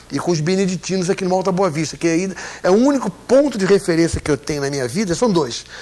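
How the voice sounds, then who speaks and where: Over noticeable background noise, a man talks very fast at a high pitch with lively intonation. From Brazil. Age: 60s. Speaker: broadcaster. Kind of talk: interview.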